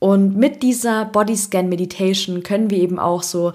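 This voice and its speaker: A woman's medium pitch with monotone, flat intonation on a very clean recording with a silent background. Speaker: podcast host and meditation guide. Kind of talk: guided meditation. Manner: slow, soft, calm and soothing, with long pauses between instructions.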